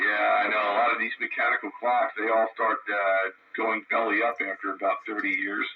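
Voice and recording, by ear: A man speaks at a fairly quick pace in a fairly low pitch with a slightly husky edge and little pitch movement.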